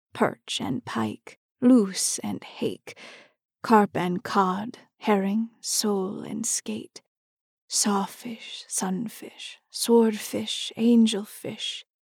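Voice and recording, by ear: In a put-on character voice, a woman speaks very slowly with a slightly mellow tone, a slightly husky edge, vocal fry and fairly even intonation. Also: medium pitch for a woman.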